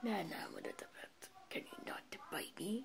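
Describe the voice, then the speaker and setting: A woman whispers in a put-on character voice. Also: moderate pace. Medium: read story. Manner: menacing, mocking.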